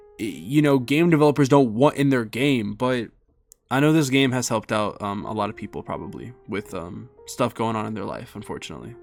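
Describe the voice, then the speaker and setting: Music plays behind a man who talks at a fairly quick pace and medium pitch, with ordinary pitch variation and big swings in loudness. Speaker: gaming YouTuber. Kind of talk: video game review. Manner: halting, stuttering.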